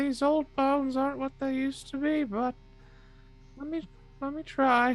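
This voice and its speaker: A put-on character voice moves at a moderate pace, broken by long, frequent pauses. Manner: frail, wheezy.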